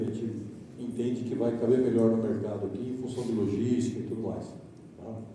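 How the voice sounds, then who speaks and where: There is noticeable background noise and audible room echo around a man speaking at a medium pitch. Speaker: company director. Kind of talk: trade presentation. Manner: trying to speak softly.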